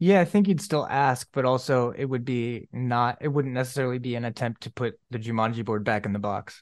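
An ordinary speaking voice from a man, medium in pitch with ordinary pitch variation, at a fairly quick pace over a quiet background. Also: hardly any pauses. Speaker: podcast host. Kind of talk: casual chat.

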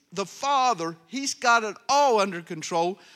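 On a very clean recording with a silent background, a man speaks fairly slowly in a high, raised, projected voice with a bright, sharp tone and lively intonation. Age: 60s. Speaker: pastor. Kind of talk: sermon. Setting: church. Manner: animated.

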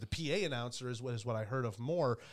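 Here a man speaks at a medium pitch with an American accent. His pace is fairly quick. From Michigan, US Midwest. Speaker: hockey and baseball play-by-play broadcaster. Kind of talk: casual interview. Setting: studio. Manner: animated.

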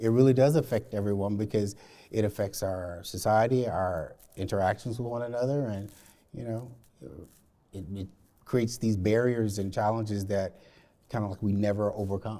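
With an American accent, a man speaks fairly quickly at a fairly low pitch, his tone dark and mellow. His intonation stays fairly even, broken by long, frequent pauses. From Alabama, US South. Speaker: corporate diversity program lead. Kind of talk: panel discussion. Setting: library reading room.

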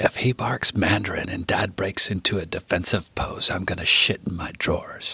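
A man whispers in a put-on character voice that sounds raspy, at a moderate pace. The sound is dry and close, with no echo. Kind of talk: casual, jokey. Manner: whispering.

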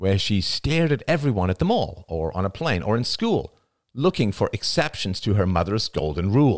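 The words are read out plainly. Little can be heard in the background.

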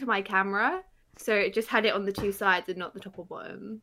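A woman speaks at a fairly quick pace with fairly even intonation and a medium pitch. It is a normal speaking voice. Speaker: Twitch streamer. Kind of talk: casual chat.

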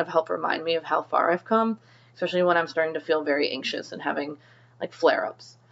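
A woman with fairly low pitch speaks at a very fast pace and with fairly even intonation. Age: 30s. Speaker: podcast host and nurse practitioner. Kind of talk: personal monologue and advice. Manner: casual with frequent fillers.

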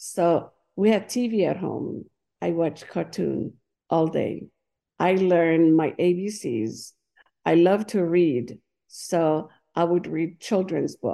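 A woman speaks at a fairly low pitch with a dark, mellow tone and ordinary pitch variation. Her pace is very slow, with long, frequent pauses, over a quiet background. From Tahiti, French Polynesia. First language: Paumotu, also French and Tahitian. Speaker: dance teacher. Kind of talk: interview. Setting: remote call.

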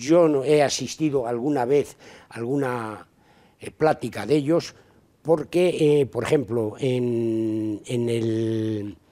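A man talks at a very slow pace in a dark, mellow tone. His pitch is medium, with ordinary pitch variation. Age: 80s+. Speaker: volunteer charity worker. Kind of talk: interview. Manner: halting.

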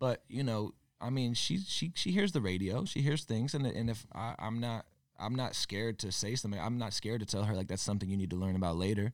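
A man with an American accent talks at a very fast pace in a medium pitch, his intonation lively. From Connecticut (Torrington). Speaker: musician. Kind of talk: casual chat. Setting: gym.

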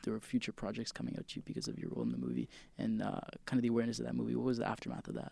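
Talking very fast, a man speaks with a Canadian accent. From Canada, Toronto. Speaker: student radio host. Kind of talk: interview. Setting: studio.

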